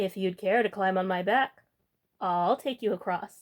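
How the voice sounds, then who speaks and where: This is a put-on character voice that sounds female. It sits at a middle pitch and moves at a moderate pace. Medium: read story. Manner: smooth, coaxing.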